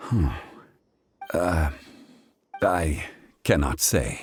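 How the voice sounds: A man's put-on character voice, extremely low and slightly husky, very slow, with lively intonation.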